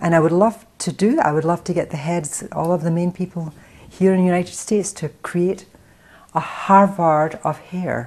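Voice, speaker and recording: Speaking with an American accent, a woman uses a fairly low pitch, a moderate pace and fairly even intonation. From Scotland (Paisley, near Glasgow). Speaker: hair stylist and salon owner, film writer. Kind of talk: interview. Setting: in her salon.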